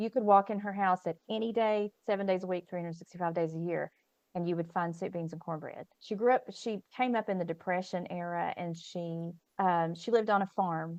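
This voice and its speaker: A woman with an American accent in a normal speaking voice, medium pitch, fairly even intonation and a fairly quick pace, over a quiet background, dry and close with no echo. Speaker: professor and podcast host. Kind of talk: casual interview chat.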